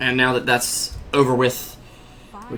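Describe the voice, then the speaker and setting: Over noticeable background noise, a man with an American accent talks at a fairly slow pace and a medium pitch. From US South, North Carolina. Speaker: esports commentator. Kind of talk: live commentary. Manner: animated.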